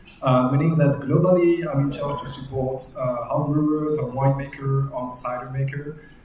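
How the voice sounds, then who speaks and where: A man with a French accent speaks with fairly even intonation. Audible room echo and noticeable background noise surround his voice. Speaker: yeast company manager giving a brewing talk. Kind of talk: technical presentation. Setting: live stream from a brewery. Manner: hesitant, many filler sounds.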